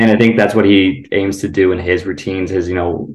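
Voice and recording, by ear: At a moderate pace, a man with an American accent talks in a low pitch with vocal fry and a slightly mellow tone. Audible room echo surrounds his voice.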